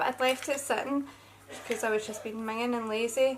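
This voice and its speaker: A woman speaks with a Scottish accent at a fairly high pitch. Her intonation is monotone and flat. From Scotland. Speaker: beauty vlogger. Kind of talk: casual chat. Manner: chatty.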